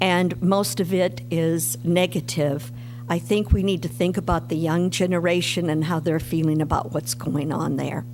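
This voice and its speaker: Her pitch very deep and low, a woman speaks at a fairly slow pace with lively intonation over noticeable background noise. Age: 60s. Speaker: public commenter. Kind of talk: public comment at a city board meeting. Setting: public meeting at a lectern.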